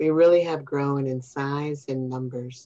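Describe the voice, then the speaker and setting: A woman with a Chicago accent and a very deep, low pitch, fairly slow pace and fairly even intonation, over a quiet background. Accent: Chicago American English. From Chicago, US Midwest. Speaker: nonprofit executive director; guest. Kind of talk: interview. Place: home room. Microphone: video call.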